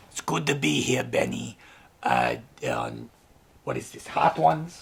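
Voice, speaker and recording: Using a put-on character voice, a man sounds raspy at a moderate pace, with big swings in loudness. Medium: comedy sketch. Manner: gruff, curt, profane.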